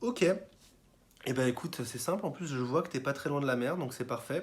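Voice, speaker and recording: A man speaks at a fairly high pitch in a somewhat breathy voice with ordinary pitch variation. The recording is very clean, with a silent background. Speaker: tricking coach YouTuber. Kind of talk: tutorial feedback. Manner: fast; casual, filler-heavy.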